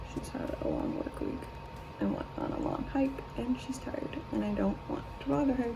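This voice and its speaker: Amid noticeable background noise and audible room echo, a woman speaks quietly at a moderate pace. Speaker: beauty vlogger. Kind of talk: makeup tutorial. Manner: speaking quietly; casual.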